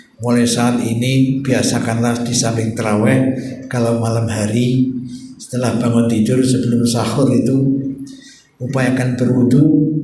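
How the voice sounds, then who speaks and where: Over noticeable background noise and audible room echo, a man speaks at a fairly slow pace in a medium pitch with monotone, flat intonation. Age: 60s. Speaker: Islamic preacher. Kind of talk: sermon. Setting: mosque.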